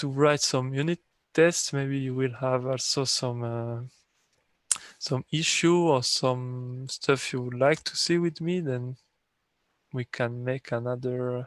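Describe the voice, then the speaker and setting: A man at a medium pitch, very slow paced, with long, frequent pauses and fairly even intonation. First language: not English. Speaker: software developer presenting his tool. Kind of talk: technical training session.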